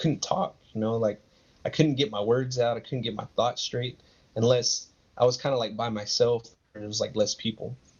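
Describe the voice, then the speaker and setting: Somewhat breathy, a man with an American accent talks at a medium pitch. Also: fairly even intonation, moderate pace. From West Texas (Odessa). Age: 30s. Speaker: digital artist. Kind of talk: interview. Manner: halting.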